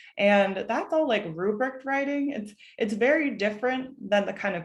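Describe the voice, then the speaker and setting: Ordinary pitch variation runs through a woman's speech. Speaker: college admissions advisor. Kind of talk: online workshop presentation. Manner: fast.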